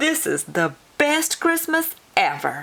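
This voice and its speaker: A woman uses a put-on character voice, croaky and extremely high in pitch. She goes at a fairly slow pace. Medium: read story.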